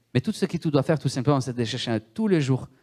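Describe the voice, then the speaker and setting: Here a man's voice is fairly high in pitch with lively intonation. The recording is very clean, the background silent. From Italy. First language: Italian (speaking French). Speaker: guest preacher. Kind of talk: sermon.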